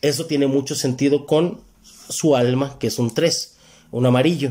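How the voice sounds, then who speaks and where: In a dark, mellow tone, the speaker talks with a Mexican accent at a moderate pace over a quiet background. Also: man. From Mexico. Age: 30s. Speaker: numerology reader, podcast guest. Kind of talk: casual chat. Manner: animated. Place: studio. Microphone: handheld.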